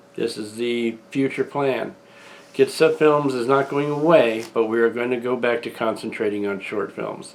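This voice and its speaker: This man has a plain, everyday voice at medium pitch, speaking at a moderate pace with fairly even intonation. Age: 60s. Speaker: independent filmmaker and channel owner. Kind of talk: video announcement monologue. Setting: at home, front room.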